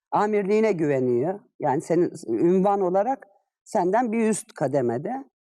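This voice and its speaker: A woman speaks at a moderate pace, her pitch medium with very wide swings. Her tone is dark and mellow, and her loudness stays very even. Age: 50s. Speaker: retired civil servant. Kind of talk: interview. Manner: hesitant fillers.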